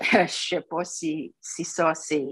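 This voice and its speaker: A woman speaking at a very slow pace. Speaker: retired teacher. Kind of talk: radio panel discussion.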